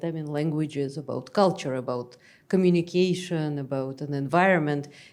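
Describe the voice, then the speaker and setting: A woman speaks in a Russian accent with a dark, mellow tone and ordinary pitch variation. The recording is very clean, with a silent background. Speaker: academic expert speaker. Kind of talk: panel Q&A discussion.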